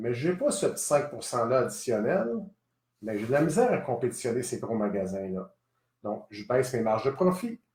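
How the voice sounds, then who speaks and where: A man with a Quebec accent talks at a moderate pace and medium pitch, somewhat breathy and with lively intonation. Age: 50s. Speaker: gun shop owner. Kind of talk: live stream address.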